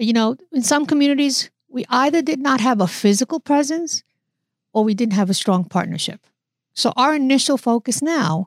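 A woman with a plain, everyday voice speaks at a moderate pace in an American accent, with lively intonation and a dry, close sound with no echo. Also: very clean recording, silent background. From New York, the Bronx. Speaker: physician and health system executive. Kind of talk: interview.

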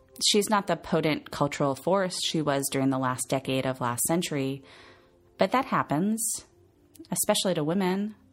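A woman speaks at a moderate pace with lively intonation while music plays in the background. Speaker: podcast host. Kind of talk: scripted narration.

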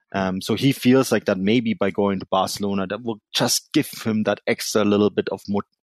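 Recorded with a dry, close sound, no echo and a quiet background, a man with a German accent speaks at a fairly low pitch and moderate pace with ordinary pitch variation. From Germany (Munich, Bavaria). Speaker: football journalist and podcaster. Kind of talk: casual chat. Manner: halting, many fillers.

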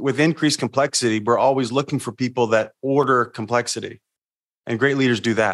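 The recording is dry and close, with no echo. A man speaks fairly quickly at a medium pitch, his intonation fairly even. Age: 40s. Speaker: leadership coach. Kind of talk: interview. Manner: casual.

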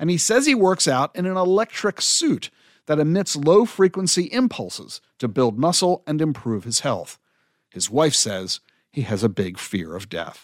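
Pitched fairly high for a man, this man's voice swings very widely in pitch. The recording is very clean, with a silent background and a dry, close sound with no echo. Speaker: podcast host. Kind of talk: interview and monologue.

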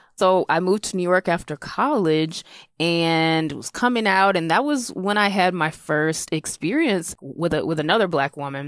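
An unremarkable speaking voice comes through with an American accent and ordinary pitch variation. The recording is very clean, with a silent background. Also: woman. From South Carolina. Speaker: comedian. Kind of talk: comedic personal story.

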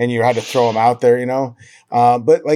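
A man with an American accent uses a normal speaking voice at a medium pitch with ordinary pitch variation. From Montana, US. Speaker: baseball beat reporter. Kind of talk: casual interview. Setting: remote call.

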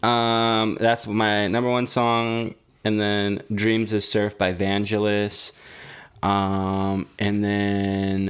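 A man at a very slow pace with fairly even intonation. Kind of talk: casual chat. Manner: joking, laughs often.

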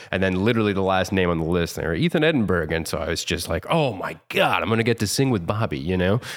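Very deep and low, a man's voice rushes along at a very fast pace with hardly any pauses. His intonation is lively. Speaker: musician and podcaster. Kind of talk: casual comedic banter.

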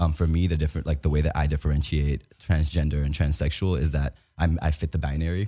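A man with an American accent speaks at a very fast pace in a very deep, low pitch with a dark, mellow tone. His intonation is fairly even, on a very clean recording with a silent background. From Dominican family, New York. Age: 20s. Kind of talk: casual interview chat. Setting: studio.

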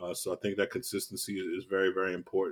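Speaking very fast, a man with an American accent uses a fairly low pitch. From US, West Baltimore, Maryland. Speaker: yoga and mindfulness teacher, nonprofit director. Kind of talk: casual interview.

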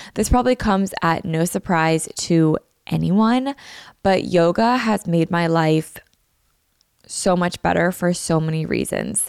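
A woman at a fairly slow pace with ordinary pitch variation, in a dry, close sound with no echo. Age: 20s. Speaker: podcast host. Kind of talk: casual solo vlog-style chat. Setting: home recording. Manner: chatty, filler-heavy (like).

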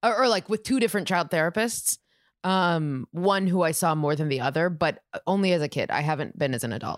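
A woman with an American accent speaks in a plain, everyday voice, fairly low in pitch, with lively intonation at a fairly quick pace. The sound is dry and close with no echo, in a very clean recording with a silent background. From Minnesota, US Midwest. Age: 20s. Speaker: comedian. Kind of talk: casual chat. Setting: home recording on a couch.

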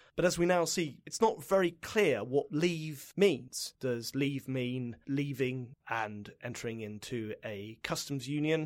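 A speaker with a British accent talks at a very slow pace. The recording is very clean, with a silent background. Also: man, fairly high pitch for a man, lively intonation, hardly any pauses. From UK. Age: 40s. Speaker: tax lawyer. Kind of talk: interview. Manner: halting.

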